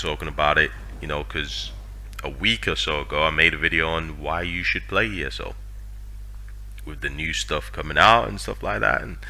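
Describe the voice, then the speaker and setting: With very deep, low pitch and very wide pitch swings, a man speaks at a moderate pace with long, frequent pauses, and audible room echo surrounds him. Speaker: gaming youtuber. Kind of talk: casual commentary. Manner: hesitant, filler-heavy.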